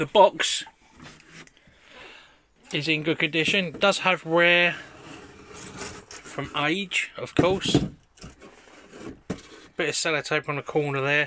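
Very slowly, with long, frequent pauses and fairly even intonation, a man speaks in a dry, echo-free recording with noticeable background noise. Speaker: toy seller. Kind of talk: product description for sale listing. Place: home room. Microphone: phone near.

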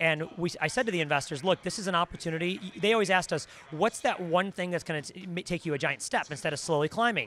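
Light background noise sits under a man's high-pitched voice with ordinary pitch variation, in a dry sound with no echo. He talks at a very fast pace with hardly any pauses. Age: 30s. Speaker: esports team owner. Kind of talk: interview. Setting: gaming convention. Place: hall. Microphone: handheld.

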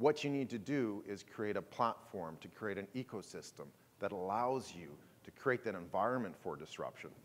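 The man's speech moves at a moderate pace. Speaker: conference keynote speaker. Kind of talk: presentation talk. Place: hall.

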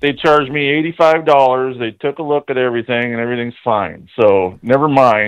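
A man with an ordinary speaking voice talks at a moderate pace. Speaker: prank call target. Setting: phone. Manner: irritated, defensive.

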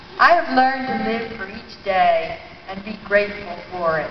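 The speech moves at a fairly slow pace with audible room echo and light background noise. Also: woman. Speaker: reader in a staged play reading. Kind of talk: play reading. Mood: warm, reflective. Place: hall. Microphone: handheld.

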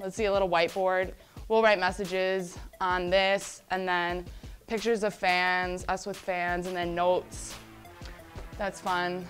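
The intonation is monotone and flat at a fairly slow pace. Faint music plays in the background. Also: woman. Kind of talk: casual tour guide chat.

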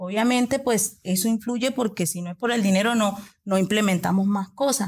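A somewhat breathy woman at medium pitch, with ordinary pitch variation and a moderate pace, in a very clean recording with a silent background. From Venezuela, Coro, Falcón state. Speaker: nail technician and entrepreneur. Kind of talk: interview.

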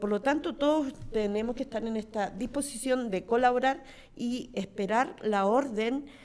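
Pitch rises and falls in an ordinary way. The delivery moves at a fairly slow pace. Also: woman, high pitch for a woman. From Chile, Santiago; Chile. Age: 50s. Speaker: mayor. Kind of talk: panel discussion. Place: studio. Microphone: studio mic.

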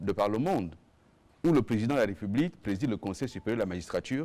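Very fast speech comes from a man with a dark, mellow tone. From Gabon. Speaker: government minister and spokesperson; government minister, spokesperson. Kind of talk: press conference. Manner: formal. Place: meeting room.

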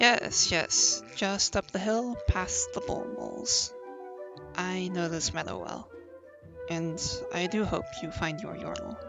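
A squeaky put-on character voice at a fairly slow pace, with long, frequent pauses and clear music in the background. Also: man, high pitch for a man. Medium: read story. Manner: prim, polite, flustered.

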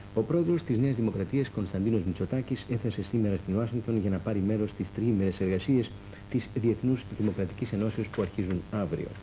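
Over light background noise, a man speaks in a fairly low, dark, mellow voice with ordinary pitch variation and very even loudness. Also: moderate pace. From Greece. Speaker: news presenter. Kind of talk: 1984 TV news bulletin, formal scripted newsreading. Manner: formal, grave, measured delivery. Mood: formal, neutral. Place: studio. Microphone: lapel.

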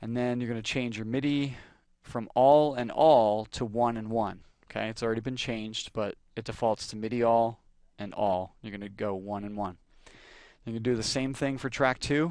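At a moderate pace and medium pitch, a man talks in a normal speaking voice with fairly even intonation against a quiet background. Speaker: music software tutorial creator. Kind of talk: tutorial. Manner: casual, frequent fillers.

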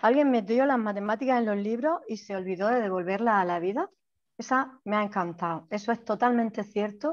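With a fairly quick pace and ordinary pitch variation, a woman talks over a quiet background. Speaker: primary school teacher. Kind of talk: casual comments in video call. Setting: video call. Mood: grateful, enthusiastic. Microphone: video call.

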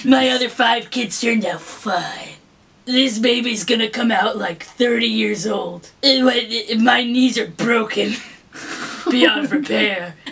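A female-sounding put-on character voice speaks fairly slowly at a fairly high pitch. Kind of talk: comic overacting. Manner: feisty, threatening.

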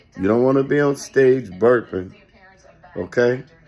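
A man's fairly slow speech with ordinary pitch variation, music in the background. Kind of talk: casual vlog chat. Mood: relaxed, advisory. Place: home room. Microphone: phone near.

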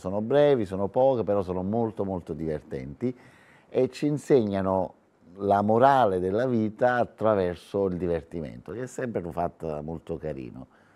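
The speaker moves at a fairly quick pace with a Neapolitan accent. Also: man. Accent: Neapolitan Italian. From southern Italy. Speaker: author and comedian; comedian. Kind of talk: TV interview. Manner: animated. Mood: cheerful, laughing. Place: studio. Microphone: lapel.

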